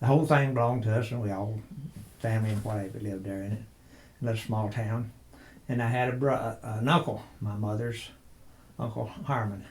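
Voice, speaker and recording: Speaking with a West Texas accent, a man with a medium-pitched, somewhat breathy voice keeps fairly even intonation and takes long, frequent pauses amid audible room echo. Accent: West Texas drawl. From West Texas (near Lubbock). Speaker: interviewee recalling childhood. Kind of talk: oral history interview.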